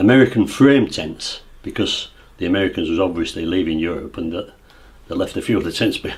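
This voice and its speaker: A man speaks fairly quickly with an East Yorkshire accent. His somewhat breathy voice sits fairly low, with ordinary pitch variation. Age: 60s. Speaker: local resident recalling the past. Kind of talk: oral history interview. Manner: halting, many false starts.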